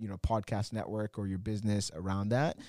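A man speaks in a dark, mellow tone. The sound is dry and close with no echo, and the recording is very clean against a silent background. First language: not English. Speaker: podcast producer and nightlife entrepreneur. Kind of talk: casual chat.

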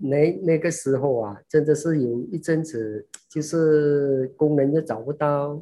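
A very slow pace with hardly any pauses. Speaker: master shoemaker. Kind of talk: interview. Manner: halting.

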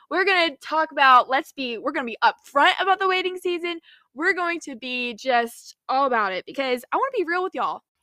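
At a fairly quick pace, a woman speaks in an extremely high, bright, sharp voice that is raised and projected, with an animated tone and lively intonation, in a dry, close sound with no echo. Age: 20s. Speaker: faith podcast host. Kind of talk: casual devotional monologue.

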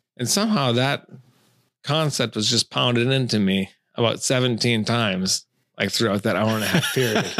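A man's plain, everyday voice at medium pitch, with an American accent, a moderate pace, ordinary pitch variation and very even loudness, in a very clean recording with a silent background. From Minnesota, Taylor's Falls. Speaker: fly fishing angler. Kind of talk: casual chat.

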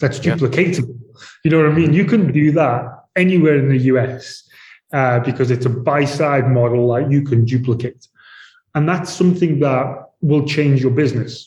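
With a British accent, a man speaks somewhat breathily at a moderate pace and fairly high pitch, with ordinary pitch variation, very even loudness and audible room echo. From UK. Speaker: real estate executive. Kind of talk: interview. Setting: remote call.

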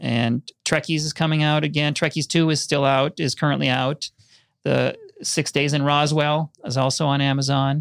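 Recorded very cleanly against a silent background, a man with an American accent speaks at a moderate pace in a fairly high pitch, his intonation monotone and flat, the sound dry and close with no echo. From Minnesota, Minneapolis western suburbs. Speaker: film and TV editor and documentary director. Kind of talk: casual interview conversation. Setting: studio.

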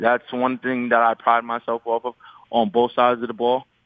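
A man with a New York accent. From New York City (Queens). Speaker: professional basketball player. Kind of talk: radio interview.

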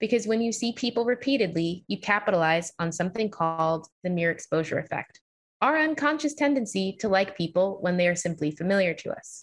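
In an American accent, the speaker goes at a fairly quick pace with lively intonation, somewhat breathy, hardly pausing. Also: woman, medium pitch for a woman. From New York. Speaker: psychologist and author. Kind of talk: interview.

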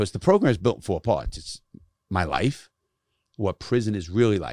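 A man with a fairly low pitch and vocal fry speaks at a moderate pace in a very clean recording with a silent background and a dry, close sound with no echo. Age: 60s. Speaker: ex-convict turned podcaster and youth speaker. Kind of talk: casual chat. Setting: studio. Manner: profane, blunt.

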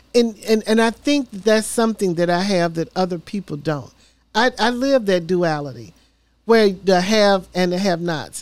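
In a Tennessee accent, a woman speaks at a moderate pace and medium pitch with lively intonation. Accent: Southern US (Tennessee). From Memphis, Tennessee. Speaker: mayoral candidate and city council member. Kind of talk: interview. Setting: studio.

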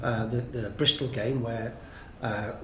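In audible room echo, a man speaks at a fairly slow pace and medium pitch, with a fairly bright tone and fairly even intonation.

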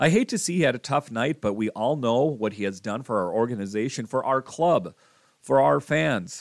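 In a normal speaking voice, a man talks at medium pitch and a moderate pace with lively intonation, recorded very cleanly in a dry, close sound with no echo and a silent background. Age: 40s. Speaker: hockey podcast host. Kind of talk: solo sports podcast commentary. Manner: casual with frequent fillers.

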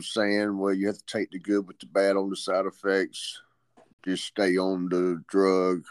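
With an ordinary speaking voice, a man of fairly low pitch speaks at a moderate pace in a dry, close sound with no echo. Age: 50s. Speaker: pain patient. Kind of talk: interview.

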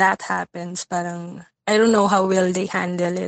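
A woman speaks with a Filipino accent. The sound is dry and close, with no echo. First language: Tagalog. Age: 20s. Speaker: listener caller seeking advice. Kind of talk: casual chat. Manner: halting, many fillers.

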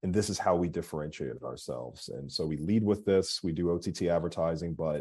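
Against a quiet background, a man with an American accent talks at a very fast pace, his very deep, low pitch showing vocal fry and ordinary pitch variation in a dark, mellow tone. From Philadelphia, US. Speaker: marketing agency CEO. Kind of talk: interview.

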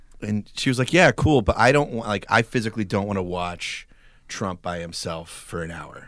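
A man in a normal speaking voice with an American accent, fairly low in pitch, at a moderate pace, with lively intonation and big swings in loudness, in a very clean recording with a silent background. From Texas, Dallas suburbs. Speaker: comedian and actor. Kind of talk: casual chat.

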